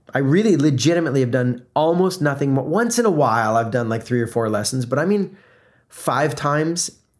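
A man with an American accent has a plain, everyday voice pitched fairly high. He talks at a fairly quick pace with lively intonation. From US South (South Florida, then Atlanta). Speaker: podcast host and brand consultant. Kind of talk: solo motivational podcast monologue. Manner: conversational, filler words.

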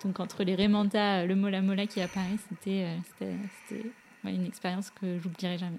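A woman's medium-pitched voice with monotone, flat intonation at a fairly quick pace. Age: 20s. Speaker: ocean conservation association co-founder. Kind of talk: interview storytelling.

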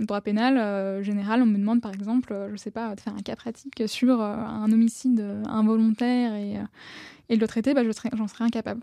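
A woman speaks in a fairly high, dark, mellow voice. Her intonation is monotone and flat, in a very clean recording with a silent background. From Paris region, France. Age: 20s. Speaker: lawyer at a nonprofit association. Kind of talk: casual interview.

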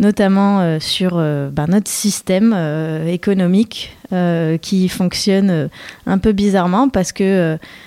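At a very slow pace, a woman speaks in a dark, mellow tone with fairly even intonation. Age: 30s. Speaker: author of a collaborative book. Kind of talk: radio interview. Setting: radio studio.

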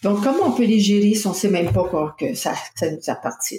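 Speaking with a Quebec accent, a woman talks at a moderate pace and medium pitch. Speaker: personal development coach and author. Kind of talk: interview. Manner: halting.

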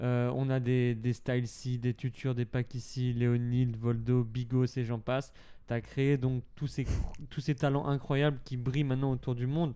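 A dark, mellow tone with monotone, flat intonation at a fairly slow pace. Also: man, medium pitch for a man. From Switzerland. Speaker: podcast host, dancer. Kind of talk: casual interview.

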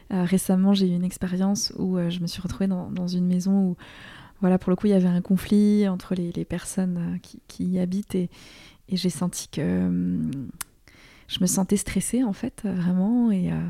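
Her voice is a woman's, somewhat breathy, with a dark, mellow tone and medium pitch. She speaks in a monotone, flat intonation at a moderate pace on a very clean recording with a silent background. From Alsace, France. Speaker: author and filmmaker. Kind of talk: interview conversation. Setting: apartment in Toulouse. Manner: halting.

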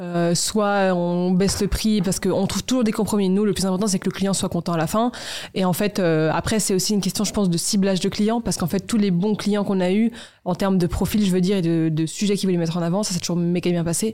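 Very fast in pace, this dark, mellow voice keeps fairly even intonation and very even loudness. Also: woman, medium pitch for a woman. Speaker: media founder. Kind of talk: casual interview.

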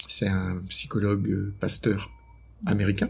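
A very slow, somewhat breathy male voice, fairly low in pitch. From northern France, Lille. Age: 50s. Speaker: couples therapist and author. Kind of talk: interview.

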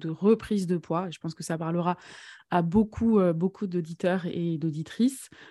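A woman's somewhat breathy voice, dark and mellow in tone, at a moderate pace on a very clean recording with a silent background. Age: 30s. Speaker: podcast host and eating coach. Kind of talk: casual interview chat.

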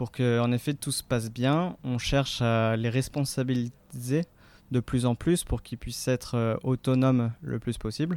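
The recording is very clean, with a silent background and a dry, close sound with no echo, as a man speaks at a medium pitch with fairly even intonation. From France, Marseille. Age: 20s. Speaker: charity volunteer. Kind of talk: interview. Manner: hesitant.

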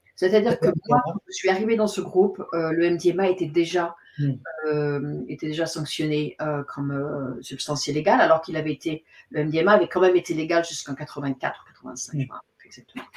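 At a moderate pace, a woman with a fairly low pitch speaks with ordinary pitch variation. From Paris suburbs, France. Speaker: psychotherapist and author. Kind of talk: interview. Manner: halting.

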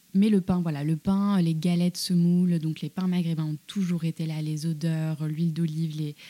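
A woman speaks at a moderate pace in a fairly low, dark, mellow voice with monotone, flat intonation. The sound is dry and close, with no echo. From France, Paris, North African heritage. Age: 30s. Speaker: journalist and cookbook author. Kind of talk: casual interview conversation. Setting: small room behind a juice workshop.

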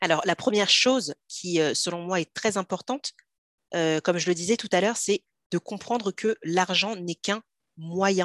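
A plain, everyday voice from a woman, medium in pitch with ordinary pitch variation, at a fairly slow pace, dry and close with no echo, in a very clean recording with a silent background. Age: 30s. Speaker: personal finance coach. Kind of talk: casual interview.

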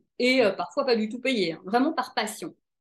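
A woman's high-pitched voice with very wide pitch swings, set against a quiet background. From Belgium, Brussels. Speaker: TV presenter and life coach. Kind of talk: interview.

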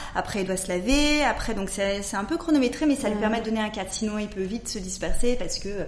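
Over noticeable background noise and audible room echo, a woman speaks at a very fast pace with a fairly high pitch and ordinary pitch variation. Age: 40s. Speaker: entrepreneur. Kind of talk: casual chat. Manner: halting.

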